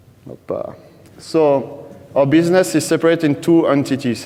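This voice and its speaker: A man with a French accent at a moderate pace, ordinary pitch variation, and noticeable background noise. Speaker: data team lead at a betting company. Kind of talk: conference talk. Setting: stage with audience.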